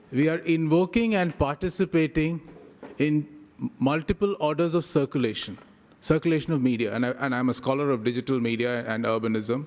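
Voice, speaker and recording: Lively intonation at a fairly quick pace. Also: man, fairly high pitch for a man. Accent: Indian. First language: Tamil. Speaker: professor. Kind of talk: lecture. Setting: conference with audience.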